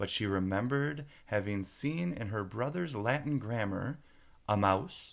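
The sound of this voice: This is an unforced reading voice. It carries the words along without strain.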